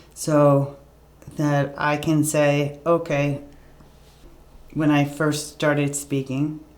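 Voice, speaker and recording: A woman speaks in a very deep, low pitch with monotone, flat intonation at a very slow pace. Long, frequent pauses and audible room echo are present. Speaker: talk show host and stroke survivor. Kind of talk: interview. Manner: slow, halting speech.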